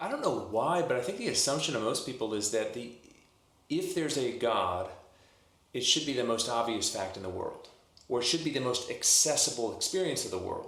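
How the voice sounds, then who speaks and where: In an American accent, a man speaks at a fairly quick pace with audible room echo. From US South, New Orleans. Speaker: minister and author. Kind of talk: podcast interview.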